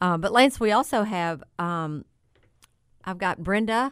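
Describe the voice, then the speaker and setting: A woman's normal speaking voice at medium pitch, with lively intonation and a moderate pace. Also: very clean recording, silent background. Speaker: auctioneer. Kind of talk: casual radio talk show.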